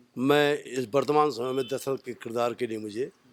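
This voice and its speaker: A man with a medium pitch talks over noticeable background noise. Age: 70s. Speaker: retired police officer and Ramlila actor. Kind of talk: interview.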